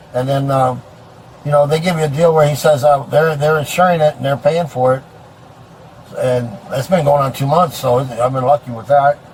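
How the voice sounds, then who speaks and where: A man speaks at a moderate pace in a fairly high pitch, with fairly even intonation. He leaves long, frequent pauses over noticeable background noise. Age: 60s. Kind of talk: roadside conversation with police.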